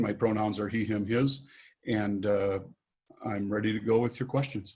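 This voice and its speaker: A man talks at a moderate pace in a fairly low pitch. His intonation is fairly even, a normal speaking voice. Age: 60s. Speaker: mayoral candidate. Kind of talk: moderated Q&A. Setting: video call.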